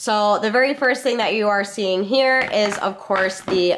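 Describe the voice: A woman speaks at medium pitch and a moderate pace, with ordinary pitch variation. Her tone is nasal and fairly bright, with faint background noise.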